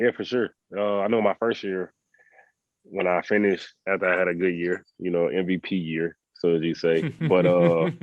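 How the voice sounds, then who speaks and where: Relaxed in tone, a man with a Southern US accent talks at a moderate pace with a very deep, low pitch and fairly even intonation. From US South. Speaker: professional basketball player. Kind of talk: podcast interview. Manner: casual, relaxed.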